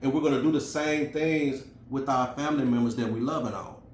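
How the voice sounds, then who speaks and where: A man speaks with an American accent at a medium pitch. His intonation is fairly even, and the room echo is audible. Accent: Memphis Southern, comes out when emotional. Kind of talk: casual video message, motivational talk. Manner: conversational, many fillers.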